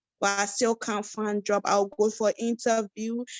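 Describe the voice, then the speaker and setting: In an Ivorian accent, the speaker talks at a fairly slow pace with flat, monotone intonation. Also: woman. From West Africa (Côte d'Ivoire, Ghana, Sierra Leone camps). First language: Yakuba. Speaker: refugee, support worker. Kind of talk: webinar interview.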